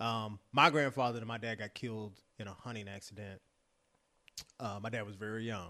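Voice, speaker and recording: A man with an American accent speaks at a fairly quick pace in a bright, sharp tone and fairly low pitch, leaving long, frequent pauses against a quiet background. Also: fairly even intonation, big swings in loudness. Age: 40s. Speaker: former college quarterback and football broadcaster. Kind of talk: casual chat.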